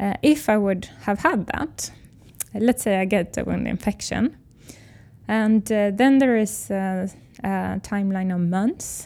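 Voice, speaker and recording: A woman speaks at medium pitch with a dark, mellow tone and ordinary pitch variation. Her pace is fairly slow. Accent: Swedish. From Sweden. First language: Swedish. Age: 30s. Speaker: biotech company founder. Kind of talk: interview.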